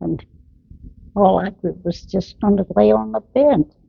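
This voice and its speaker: The voice has vocal fry and very wide swings in pitch. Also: woman. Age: 90s. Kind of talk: family memories interview.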